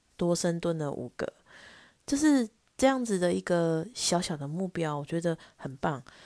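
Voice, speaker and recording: The voice has a dark, mellow tone and lively intonation, with a dry, close sound with no echo and a quiet background. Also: woman. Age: 30s. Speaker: podcast host. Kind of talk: casual solo monologue.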